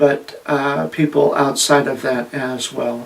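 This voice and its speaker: Amid noticeable background noise, a man talks at a fairly slow pace and a fairly high pitch. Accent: American. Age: 50s. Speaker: transgender vlogger, former truck driver. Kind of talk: personal monologue, self-interview. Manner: halting, many fillers.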